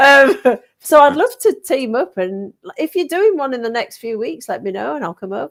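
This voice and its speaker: A woman talks with a Yorkshire accent at a moderate pace. Her pitch swings very widely. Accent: northern English (Yorkshire). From Yorkshire, northern England. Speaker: paranormal investigator. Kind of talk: casual chat. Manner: animated.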